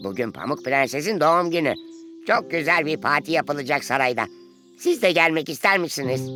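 A man does a cartoonish character voice at a fairly high pitch and a moderate pace. Clear music plays in the background. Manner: hesitant, stammering.

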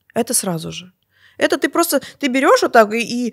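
Her high-pitched voice is animated, with very wide pitch swings at a moderate pace. The woman is heard on a very clean recording with a silent background. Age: 40s. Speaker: natural rejuvenation coach. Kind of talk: interview.

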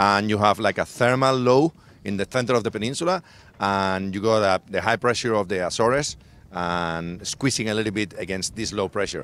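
A man's plain, everyday voice, fairly low in pitch, at a fairly quick pace, with a dry sound with no echo. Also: ordinary pitch variation. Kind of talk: interview answer. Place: waterside. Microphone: handheld.

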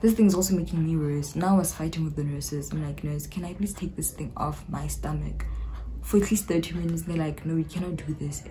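A woman talks at a very fast pace in a South African accent. Light background noise sits behind her. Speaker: YouTuber. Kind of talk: casual talk to camera. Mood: animated, recounting a painful labour. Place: home room. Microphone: phone near.

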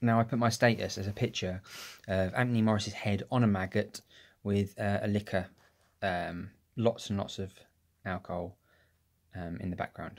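Over a quiet background, a man with a fairly low voice talks at a moderate pace with long, frequent pauses. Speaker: vlogger. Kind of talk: casual vlog chat. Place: home room. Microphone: phone near.

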